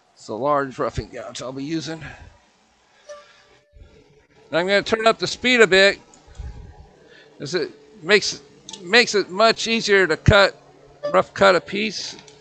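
A man talks at a fairly slow pace in a raised, projected voice, his loudness swinging widely, with long, frequent pauses. The sound is dry with no echo, and faint music plays in the background. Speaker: woodturner demonstrating. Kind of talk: tutorial. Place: workshop.

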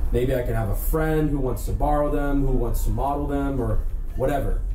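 A man heard with audible room echo and light background noise. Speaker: vintage clothing reseller. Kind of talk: casual haul vlog chat. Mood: enthusiastic, relaxed. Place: home room. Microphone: camera far.

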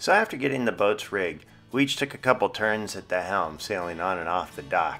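A man's fairly low voice at a moderate pace with ordinary pitch variation, faint music in the background. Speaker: sailing vlogger narrator. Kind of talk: vlog voice-over narration. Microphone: studio mic.

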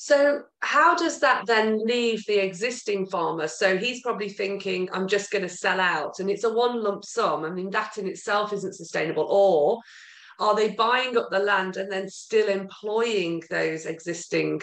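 Against a quiet background with audible room echo, a woman with a British accent and a medium-pitched voice speaks at a fairly slow pace with lively intonation and hardly any pauses. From UK. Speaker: podcast host. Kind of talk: casual interview chat. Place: home room. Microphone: video call.

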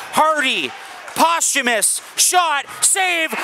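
An extremely high-pitched, raised, projected male voice at a very slow pace, over noticeable background noise. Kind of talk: live hockey play-by-play commentary.

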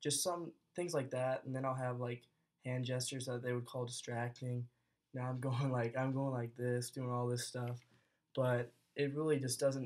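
Over a quiet background, a man talks at a moderate pace in a flat, monotone way. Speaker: college student. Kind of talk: casual video blog. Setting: self-recorded video. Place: home room. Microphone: webcam.

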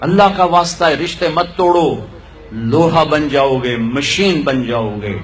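The speech moves at a fairly slow pace with very wide pitch swings. Light background noise can be heard. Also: man. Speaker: religious preacher. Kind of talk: sermon. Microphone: podium.

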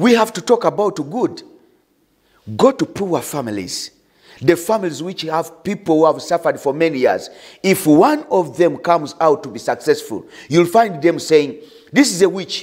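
Against a quiet background, a man with a high pitch talks at a moderate pace with lively intonation. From Uganda. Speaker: pastor. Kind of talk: sermon; prayer. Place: studio. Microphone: lapel.

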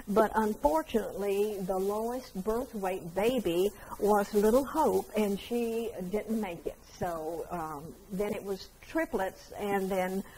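A woman speaking at a very slow pace over light background noise. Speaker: museum guide. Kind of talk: interview answer, storytelling. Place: hall.

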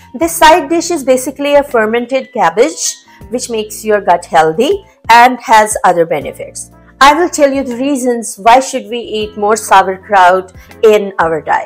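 A woman talks at a moderate speed while faint music sits in the background. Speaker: health blogger. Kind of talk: tutorial. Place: kitchen. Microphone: lapel.

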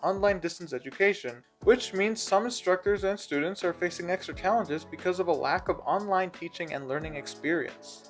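A man with a high pitch talks at a fairly quick pace over faint music in the background. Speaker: presenter. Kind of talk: informational presentation. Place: home room. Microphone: phone near.

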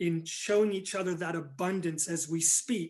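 With fairly even intonation, a man speaks against a quiet background. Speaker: pastor. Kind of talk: sermon. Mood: earnest, encouraging. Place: home room. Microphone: phone near.

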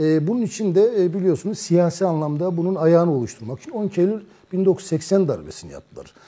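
A man's high voice, dark and mellow in tone, fairly quick with hardly any pauses, ordinary pitch variation and big swings in loudness. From Turkey. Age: 50s. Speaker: journalist. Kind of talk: political discussion. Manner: hesitant, frequent fillers. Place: studio. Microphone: lapel.

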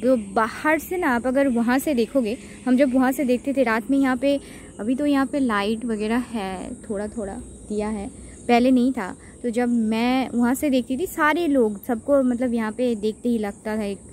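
Light background noise sits under a dry sound with no echo. A woman speaks at a high pitch and a fairly slow pace, with ordinary pitch variation. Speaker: vlogger. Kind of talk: casual vlog chat. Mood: curious storytelling. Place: waterside. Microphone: phone near.

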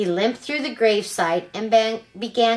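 Ordinary pitch variation shapes the unforced reading voice.

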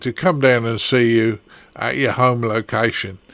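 Noticeable background noise sits behind a man speaking fairly slowly at a medium pitch. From England, Kent. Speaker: amateur radio podcast host. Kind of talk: casual chat.

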